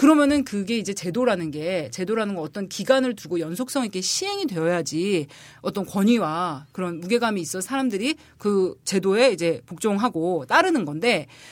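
A woman with a medium-pitched voice speaks at a moderate pace, her pitch swinging very widely. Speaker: political columnist, former legislative aide. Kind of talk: casual political discussion. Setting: studio.

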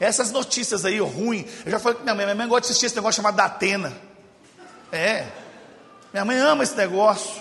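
In a Minas Gerais accent, a man talks at a very fast pace in an animated tone, his pitch high with ordinary variation. Long, frequent pauses break up his speech, and background noise is noticeable. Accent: Brazilian Portuguese, Minas Gerais (mineiro). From Brazil, Belo Horizonte (Minas Gerais). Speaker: guest preacher. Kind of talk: sermon.

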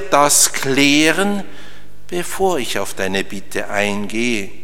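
Very slowly, a man talks with very wide pitch swings. There is noticeable background noise. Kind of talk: sermon, earnest homily explaining the Gospel of the wedding at Cana to a congregation. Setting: church. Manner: emphatic and solemn when voicing Christ's words, with rhythmic repetition.

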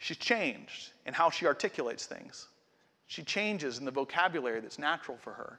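This man has a fairly high pitch and speaks at a moderate pace. He has an unremarkable speaking voice. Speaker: pastor. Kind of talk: sermon. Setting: church.

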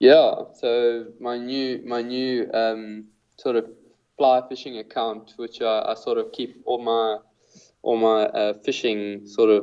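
A man in a South African accent, fairly slow and monotone, flat in intonation, with a medium pitch and a dark, mellow tone. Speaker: fly fishing guide. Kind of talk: casual interview chat. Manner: hesitant, filler-heavy, repeats words.

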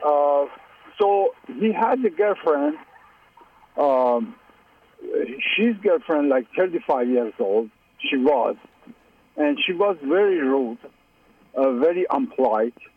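Speaking at a very slow pace with long, frequent pauses, the voice has a tired tone, very wide pitch swings and very even loudness over noticeable background noise. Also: man, fairly high pitch for a man. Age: 50s. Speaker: caller. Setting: phone call. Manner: tired and frustrated.

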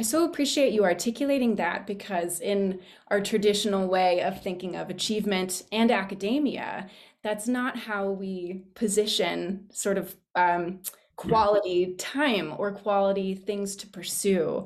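A woman's normal speaking voice, medium in pitch, with ordinary pitch variation and a fairly slow pace. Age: young. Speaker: public speaker with theater background. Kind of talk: sharing in a group discussion.

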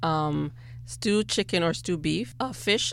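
A woman talks with a slight Bajan accent. Her pace is fairly slow. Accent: slight Caribbean (Bajan) accent comes out. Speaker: personal chef and caterer. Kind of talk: radio interview. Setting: radio studio.

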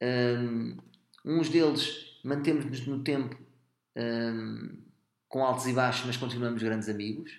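Delivered at a very slow pace with long, frequent pauses, the speech has a European Portuguese accent and fairly even intonation, with audible room echo. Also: man, medium pitch for a man. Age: 30s. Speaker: comedian. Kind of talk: casual chat.

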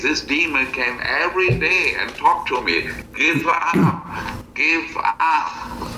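A man talking at a very slow pace, with noticeable background noise. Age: 60s. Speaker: missionary. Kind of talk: testimony. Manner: halting.

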